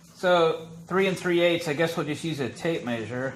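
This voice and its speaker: At a fairly slow pace, a man talks with audible room echo around him. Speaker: DIY tool reviewer. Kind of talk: tutorial. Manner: mumbling.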